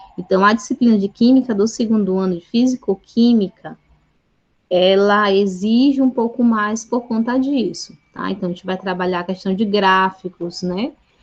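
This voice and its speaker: This woman has a medium pitch, ordinary pitch variation and a somewhat breathy quality. She speaks at a moderate pace. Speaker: chemistry teacher. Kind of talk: online Q&A session with students.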